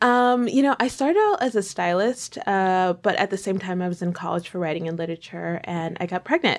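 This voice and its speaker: On a very clean recording with a silent background, a woman with an unremarkable speaking voice and an American accent talks at a fairly quick pace and a medium pitch, with ordinary pitch variation and hardly any pauses. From New York. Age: 20s. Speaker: lifestyle blogger and author. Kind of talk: casual interview.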